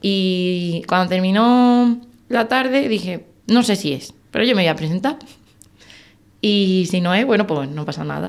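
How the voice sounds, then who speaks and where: The woman's pitch sits at a medium level. She speaks at a fairly slow pace. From Andalusia, Spain (Algeciras); Andalusia. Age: 20s. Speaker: wildlife biologist and hunter; podcast guest. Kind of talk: interview. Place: studio. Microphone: studio mic.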